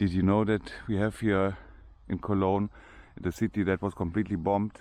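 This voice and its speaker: In a German accent, a man speaks fairly quickly in a fairly low, dark, mellow voice. His intonation is monotone and flat, his loudness very even, against a quiet background. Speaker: vlogger giving a walking tour. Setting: outdoors. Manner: hesitant, with frequent restarts.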